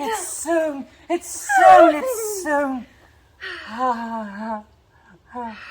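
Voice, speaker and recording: In a put-on character voice, a high-pitched speaker goes at a very slow pace with long, frequent pauses. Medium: stage play. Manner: sing-song, eerie.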